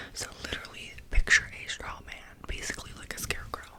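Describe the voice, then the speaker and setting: A whisper moves at a moderate pace against noticeable background noise. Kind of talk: educational ASMR explanation.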